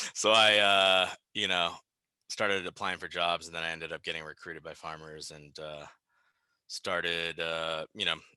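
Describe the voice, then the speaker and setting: A man with a Californian accent speaks at a moderate pace in a very deep, low voice with a bright, sharp tone, monotone, flat intonation, and big swings in loudness over a quiet background. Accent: Californian American English. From US West Coast, Bay Area (Berkeley). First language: Japanese. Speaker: insurance agent. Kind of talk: interview. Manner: casual, relaxed.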